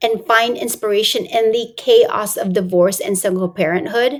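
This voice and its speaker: A woman with a plain, everyday voice and fairly high pitch speaks at a fairly slow pace. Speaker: transformational coach, podcast host. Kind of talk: podcast interview host.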